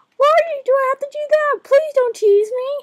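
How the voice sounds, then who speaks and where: Sounding female, a put-on character voice at an extremely high pitch goes along at a moderate pace. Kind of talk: coy, pleading.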